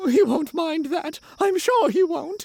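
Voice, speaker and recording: A woman's put-on character voice, extremely high in pitch and anxious in tone, with lively intonation at a fairly slow pace. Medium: read story. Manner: anxious, fretful.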